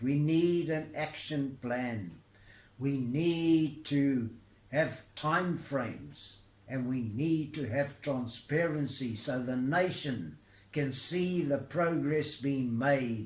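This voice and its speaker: A man's fairly high-pitched voice at a very slow pace, with ordinary pitch variation and audible room echo. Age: 80s+. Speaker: retired labour negotiator. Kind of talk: recorded address to camera. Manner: formal.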